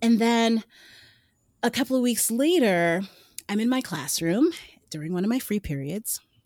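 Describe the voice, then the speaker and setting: Over a very clean recording with a silent background and a dry, close sound with no echo, a woman with a Brooklyn accent speaks at a moderate pace and a fairly high pitch, making very wide pitch swings and long, frequent pauses. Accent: New York (Brooklyn). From New York City, Brooklyn. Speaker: runner and former teacher. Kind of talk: interview conversation.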